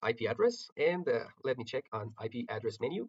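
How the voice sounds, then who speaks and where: A man talks with a non-native accent. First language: not English. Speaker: network engineering instructor. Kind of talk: tutorial. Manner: halting, many filler words.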